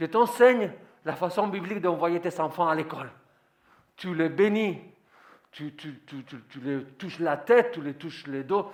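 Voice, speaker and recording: A man with a non-native accent, high in pitch for a man, with lively intonation, a fairly slow pace, long and frequent pauses and big swings in loudness. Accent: foreign accent in French. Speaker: pastor. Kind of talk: sermon.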